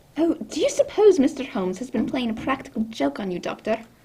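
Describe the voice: Using a put-on character voice, a woman talks at a fairly quick pace with a high pitch, big pitch swings, a dark, mellow tone and a slightly husky edge.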